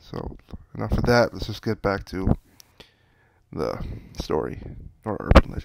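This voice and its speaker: Speaking at a moderate pace with lively intonation, vocal fry and big swings in loudness, a man takes long, frequent pauses, heard with a dry, close sound and no echo. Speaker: storyteller. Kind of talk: reading aloud. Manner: halting.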